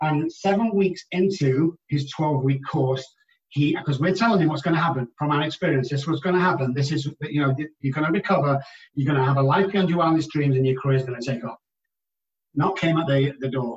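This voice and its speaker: A man with an English accent talks at a fairly quick pace, somewhat breathy. His pitch is fairly high, with ordinary pitch variation. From England. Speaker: addiction treatment specialist. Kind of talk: interview.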